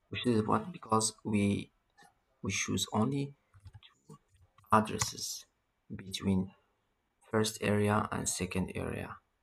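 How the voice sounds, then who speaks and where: A man with a non-native accent speaks slowly at a fairly low pitch, with ordinary pitch variation, long and frequent pauses and big swings in loudness. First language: not English. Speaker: networking tutorial instructor. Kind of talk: tutorial.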